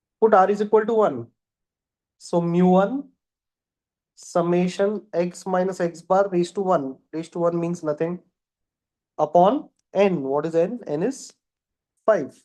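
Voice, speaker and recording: Speech moves at a fairly slow pace. Long pauses come often. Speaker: maths teacher. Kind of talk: lecture. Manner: repetitive.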